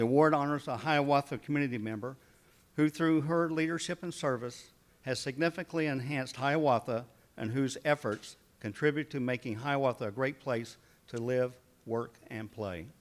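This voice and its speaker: At a moderate pace, a man with an Oklahoma accent speaks in a medium-pitched voice with ordinary pitch variation. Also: very clean recording, silent background. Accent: Oklahoma Southern. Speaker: city mayor. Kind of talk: public address.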